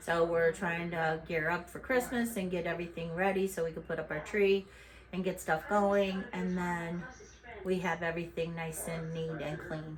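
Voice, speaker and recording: Fairly low, fairly even speech from a woman, with noticeable background noise and audible room echo. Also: moderate pace. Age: 60s. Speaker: YouTuber, mother. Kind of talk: casual home vlog. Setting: at home.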